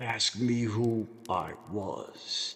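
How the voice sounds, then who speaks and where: Pitched in the middle of his range, a man puts on a character voice. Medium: read story. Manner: grave, terse.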